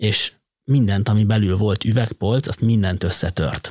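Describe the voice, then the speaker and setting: This man's voice sits fairly low and is somewhat breathy, with fairly even intonation. The sound is dry and close, with no echo. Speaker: logistics company managing director. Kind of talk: interview.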